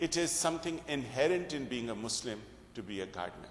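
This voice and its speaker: Speaking at a moderate pace, a man uses medium pitch and lively intonation. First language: Urdu and Punjabi. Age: 50s. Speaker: workshop speaker. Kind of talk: workshop talk.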